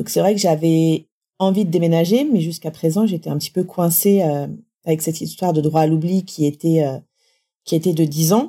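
A woman's fairly low, dark, mellow voice at a moderate pace with fairly even intonation, on a very clean recording with a silent background. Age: 40s. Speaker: cancer survivor and patient association assistant. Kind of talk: testimony. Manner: halting.

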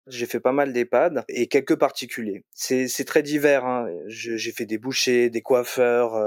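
A man speaks very slowly at a medium pitch with fairly even intonation. The sound is dry and close, with no echo. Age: 20s. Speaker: computer science student. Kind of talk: interview. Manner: hesitant, many fillers.

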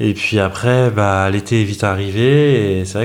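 A man has an unremarkable speaking voice with a fairly low pitch. His pitch varies in an ordinary way. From Paris, France. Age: 40s. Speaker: business partner of content creator, newlywed. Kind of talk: podcast interview.

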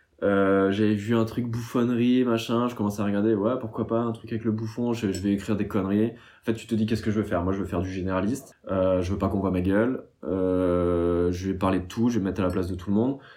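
Very fast in pace, a man speaks at a fairly low pitch with a dark, mellow tone and fairly even intonation. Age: 30s. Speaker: meme account creator. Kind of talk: casual chat.

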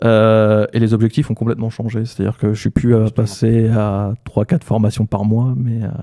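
A man speaks in a plain, everyday voice at a moderate pace. His intonation is fairly even. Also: medium pitch for a man. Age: 30s. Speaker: entrepreneur and AI trainer. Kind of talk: casual interview. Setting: studio.

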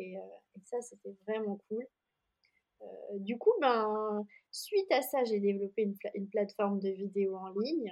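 A woman with a fairly high pitch speaks at a fairly slow pace with fairly even intonation, long, frequent pauses and big swings in loudness. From France, Jura. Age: 30s. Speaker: yoga teacher and studio founder. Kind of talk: interview.

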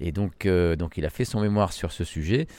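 The recording is very clean, and the background is silent. A man talks in a dark, mellow tone, his pitch varying in an ordinary way. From Lebanon. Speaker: winemaker. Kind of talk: interview. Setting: winery. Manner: halting.

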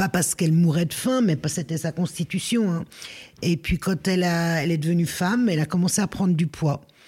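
In a dark, mellow tone that is somewhat breathy, the speaker goes at a fairly quick pace with very even loudness and ordinary pitch variation. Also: woman, fairly low pitch for a woman. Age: 60s. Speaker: former social worker and risk manager. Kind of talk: casual chat.

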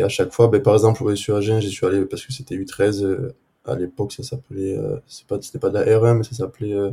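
Somewhat breathy, a man at medium pitch speaks at a moderate pace in a dark, mellow tone. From southwest France, near Agen. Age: 20s. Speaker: amateur footballer. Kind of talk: casual interview. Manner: halting, many repetitions.

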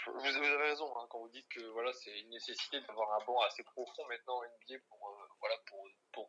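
This man's voice sits at a medium pitch, with a bright, sharp tone, fairly even intonation, a moderate pace and big swings in loudness. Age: 20s. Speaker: basketball fan account manager. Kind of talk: casual chat.

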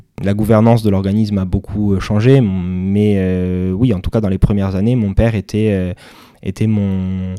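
A man speaks with a fairly low pitch, a dark, mellow tone and a monotone, flat delivery. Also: very clean recording, silent background. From Corsica. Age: 30s. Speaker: entrepreneur. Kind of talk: interview. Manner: halting.

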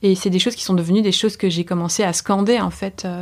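A woman speaks at a medium pitch in a monotone, flat delivery. The recording is very clean, with a silent background. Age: 30s. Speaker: artist and slam poet. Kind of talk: testimony. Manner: fast; halting.

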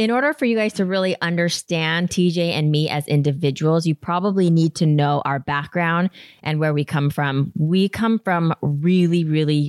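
A woman with an ordinary speaking voice, fairly low in pitch, with ordinary pitch variation at a moderate pace, recorded dry and close with no echo against a very clean, silent background. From Utah, US. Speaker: podcast co-host. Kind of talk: casual chat.

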